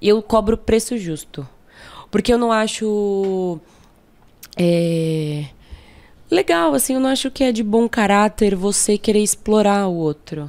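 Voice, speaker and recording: Lively intonation marks a woman's very slow speech, which has long, frequent pauses. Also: medium pitch for a woman, very clean recording, silent background. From São Paulo, Brazil (south zone, Jardim São Luís). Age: 20s. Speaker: photographer. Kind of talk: casual interview chat. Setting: studio.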